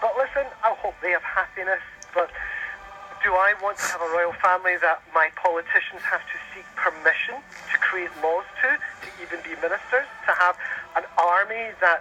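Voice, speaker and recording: With noticeable background noise, a man with a Scottish accent speaks in a raised, projected voice at a high pitch and moderate pace, with ordinary pitch variation. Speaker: caller. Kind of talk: radio interview.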